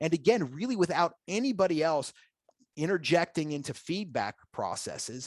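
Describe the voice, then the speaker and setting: Over a quiet background, a man talks at a fairly quick pace with lively intonation, the sound dry and close with no echo. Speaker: software presenter. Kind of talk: product demo presentation. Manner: fast.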